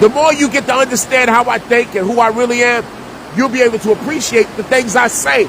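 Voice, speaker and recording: A man with a New Jersey accent talks at a fairly quick pace in an extremely high pitch, animated in tone with ordinary pitch variation. His loudness stays very even over noticeable background noise. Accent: New Jersey urban speech. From US Northeast, Jersey City, New Jersey. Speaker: online talk show host and minister. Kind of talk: casual monologue.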